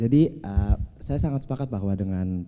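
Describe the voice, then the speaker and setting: A man with an Indonesian accent talks at a moderate pace, his fairly low pitch carrying a dark, mellow tone. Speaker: seminar speaker on health policy. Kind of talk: seminar panel discussion.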